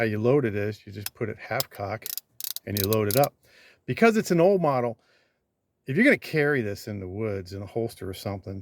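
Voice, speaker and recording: This man talks fairly quickly at a medium pitch with ordinary pitch variation, big swings in loudness and long, frequent pauses. The sound is dry and close, with no echo. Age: 60s. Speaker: YouTuber. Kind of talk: firearms review. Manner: casual.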